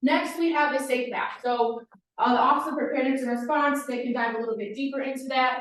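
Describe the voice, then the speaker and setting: A woman talks very fast at a high pitch with fairly even intonation, and audible room echo surrounds her voice. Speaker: campus police officer. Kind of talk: presentation.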